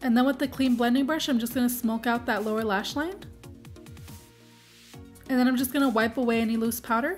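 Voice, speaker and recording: Music plays behind a woman with a high pitch and ordinary pitch variation. She keeps a fairly quick pace broken by long, frequent pauses. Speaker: makeup artist / beauty vlogger. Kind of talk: makeup tutorial narration.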